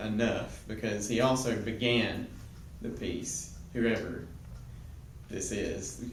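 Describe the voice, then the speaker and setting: Over noticeable background noise and audible room echo, a man speaks at medium pitch with fairly even intonation. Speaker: Bible teacher. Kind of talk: lecture. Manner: halting.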